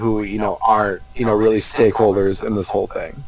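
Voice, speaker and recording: A man with an American accent has a normal speaking voice, medium in pitch, at a moderate pace. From Minnesota. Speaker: basketball writer. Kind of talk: casual chat.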